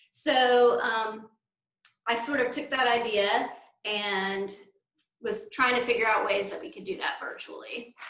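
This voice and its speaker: With long, frequent pauses and big swings in loudness, a woman speaks fairly slowly at a fairly high pitch amid audible room echo. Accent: Southern. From North Carolina, US South. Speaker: librarian presenting at a conference. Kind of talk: conference presentation.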